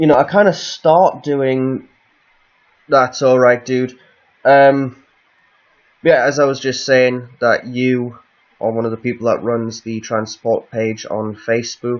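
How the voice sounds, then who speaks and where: Speaking in a northeast English accent, a man at a medium pitch moves at a fairly slow pace with long, frequent pauses. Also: fairly even intonation. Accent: northeast English, lighter than guest's. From northeast England. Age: 20s. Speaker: live streamer. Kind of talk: casual chat. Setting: home live stream.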